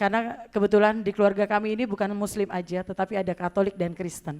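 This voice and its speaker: At a fairly quick pace, a woman speaks at medium pitch with monotone, flat intonation. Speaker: singer. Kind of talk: testimony.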